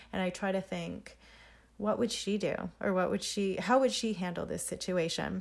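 A woman's medium-pitched voice with fairly even intonation. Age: 30s. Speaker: podcast host, entrepreneur. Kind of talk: solo casual monologue. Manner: unscripted, halting with fillers.

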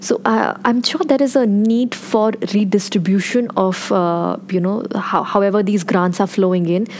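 The speech moves at a moderate pace with ordinary pitch variation, very even loudness and hardly any pauses, with noticeable background noise behind it. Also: woman, medium pitch for a woman. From India. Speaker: policy researcher. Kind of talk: panel discussion.

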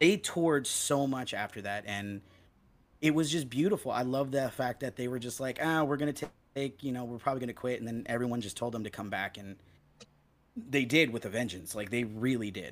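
A man with an American accent uses a normal speaking voice at medium pitch with ordinary pitch variation, on a very clean recording with a silent background. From Los Angeles. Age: 30s. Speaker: punk musician. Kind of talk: casual chat. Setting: at home.

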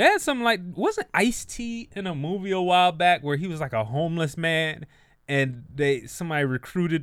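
A man with a plain, everyday voice, fairly high pitch, and a fairly quick pace in a very clean recording with a silent background. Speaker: comedian podcaster. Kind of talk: casual chat. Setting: studio.

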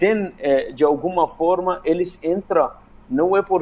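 Speaking at a fairly slow pace with fairly even intonation, a man with an Arabic accent has a high-pitched voice. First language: Arabic (speaking Portuguese). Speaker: migrant rights activist. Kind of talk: radio panel interview. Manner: halting, many fillers.

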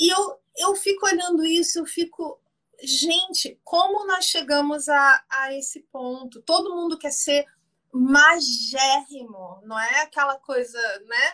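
A high-pitched woman with a bright, sharp tone speaks in a raised, projected voice at a very slow pace with very wide pitch swings. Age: 50s. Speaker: theologian and image consultant. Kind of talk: casual chat. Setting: Instagram live video call.

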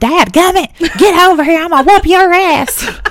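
A woman shouts in a put-on character voice with a Southern US accent, pitched extremely high. Her intonation is lively and her pace moderate. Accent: Southern American. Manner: yelling, scolding.

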